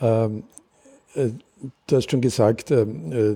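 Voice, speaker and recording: Here a man speaks in a medium-pitched, somewhat breathy voice with a dark, mellow tone. He goes at a very slow pace with ordinary pitch variation. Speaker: community radio host. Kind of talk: interview. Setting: Viennese coffee house.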